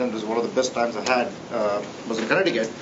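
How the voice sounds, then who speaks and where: There is audible room echo and noticeable background noise. A man with a Tamil accent speaks at a fairly quick pace. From India, Tamil-speaking south. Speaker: professor. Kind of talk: tribute speech. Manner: halting, many fillers.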